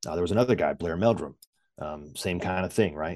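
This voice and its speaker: In an American accent, a man with a very deep, low pitch and a dark, mellow tone talks at a moderate pace with ordinary pitch variation. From Virginia, US. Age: 40s. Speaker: leadership coach. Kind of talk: casual interview.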